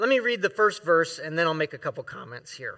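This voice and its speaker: In a very clean recording with a silent background, a man with an American accent raises and projects his voice, his tone bright and sharp. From US South, Florida. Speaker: guest preacher and professor. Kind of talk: sermon. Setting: church.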